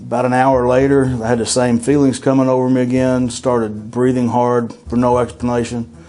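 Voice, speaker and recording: A man's medium-pitched voice at a moderate pace, fairly even in intonation, with noticeable background noise and audible room echo. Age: 50s. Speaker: heart attack survivor. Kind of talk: testimony. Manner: hesitant, many uh fillers.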